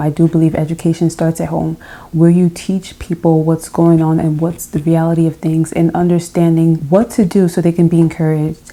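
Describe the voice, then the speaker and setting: A soft-spoken woman talks at a fairly quick pace with a fairly low pitch. Her intonation is monotone and flat. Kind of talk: casual talk to camera.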